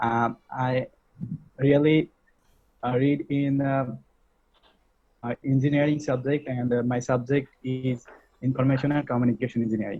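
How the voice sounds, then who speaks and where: A man talks at a moderate pace and medium pitch, somewhat breathy, with monotone, flat intonation. Long pauses come often. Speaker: university student. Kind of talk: speaking practice. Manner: halting, many hesitations.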